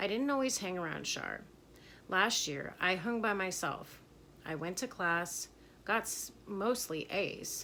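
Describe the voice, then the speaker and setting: A woman does a put-on character voice, raspy and calm in tone, at a fairly slow pace. Her pitch sits in the medium range and her intonation is lively. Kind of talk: classroom read-aloud. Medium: read story. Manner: calm, conversational.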